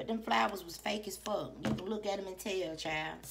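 A woman speaks over noticeable background noise. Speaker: tarot reader. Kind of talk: casual reading commentary. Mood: animated, emphatic, profane. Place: home room. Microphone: phone near.

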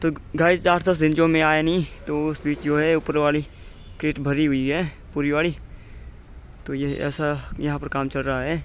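Monotone, flat intonation from a man at a moderate pace, with long, frequent pauses, a dry sound without echo and light background noise. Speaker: construction worker vlogger. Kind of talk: casual vlog chat. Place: open country. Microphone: phone near.

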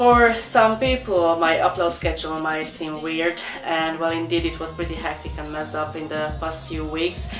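Over clear background music, a woman speaks at a moderate pace with hardly any pauses. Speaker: pet vlogger. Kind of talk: casual vlog chat. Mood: cheerful, relaxed. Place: home room. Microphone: camera far.

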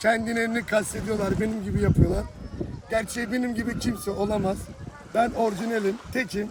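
Over noticeable background noise, a man talks in a high pitch with a Thracian accent. His intonation is flat and monotone. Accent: Thracian Turkish dialect. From Thrace, Turkey. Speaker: street simit seller. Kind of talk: interview answer.

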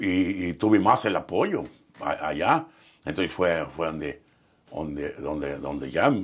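Here a man speaks very deep and low, with ordinary pitch variation, at a fairly slow pace. The background is quiet. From Mexico, Michoacán and Nayarit; Mexico. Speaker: professional musician; interviewee. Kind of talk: interview storytelling. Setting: studio. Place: studio. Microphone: lapel.

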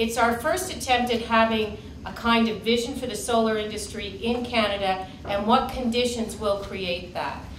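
Hardly any pauses, ordinary pitch variation, audible room echo, and light background noise. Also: woman, moderate pace. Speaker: keynote speaker. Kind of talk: keynote talk. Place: meeting room.

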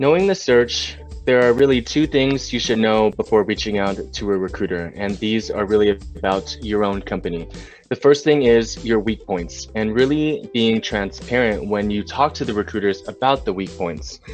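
Faint music plays in the background. Over it, a man talks at a moderate pace with a fairly low pitch. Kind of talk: advice talk to camera. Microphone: webcam.

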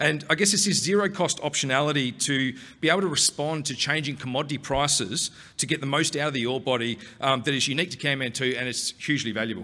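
A man talks at a very fast pace in a bright, sharp tone. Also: ordinary pitch variation. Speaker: presenter. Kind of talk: conference presentation. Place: hall. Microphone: podium.

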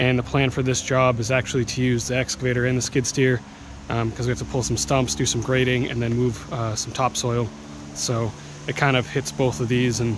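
Noticeable background noise is present, though the sound is dry with no echo. A man speaks at a fairly quick pace with ordinary pitch variation. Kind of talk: casual vlog chat. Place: open country. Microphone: phone near.

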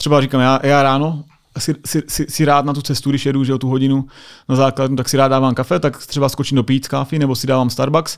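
Over a quiet background, a man at a medium pitch talks very fast in a flat, monotone way. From Czechia. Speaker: US Air Force sergeant; podcast guest. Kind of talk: casual chat. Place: studio. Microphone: studio mic.

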